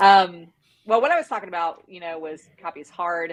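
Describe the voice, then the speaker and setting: This woman has an ordinary speaking voice, fairly low in pitch. She talks at a moderate pace with lively intonation. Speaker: content strategy director. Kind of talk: live webinar workshop.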